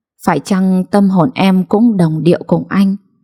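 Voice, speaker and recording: This woman has a dark, mellow tone at a medium pitch. She talks at a fairly slow pace and sounds somewhat breathy. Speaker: story narrator. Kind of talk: late-night read story.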